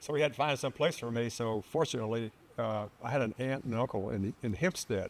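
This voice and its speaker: In a Texan accent, the speaker keeps a moderate pace. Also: man. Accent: Texan American. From South Texas (Harlingen). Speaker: retired naval officer and aviator. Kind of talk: interview. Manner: halting.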